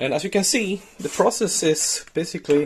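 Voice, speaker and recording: Here a man speaks with a Swedish accent. His pitch is high. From Sweden. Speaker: DIY maker, video host. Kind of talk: tutorial. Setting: workshop shed.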